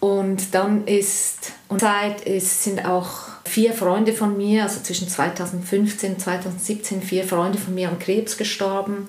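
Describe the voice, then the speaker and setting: In a room with audible echo and noticeable background noise, a woman speaks very slowly at a medium pitch in a monotone, flat intonation. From Switzerland. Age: 50s. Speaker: interview guest telling personal breakup story. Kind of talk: personal testimony in interview.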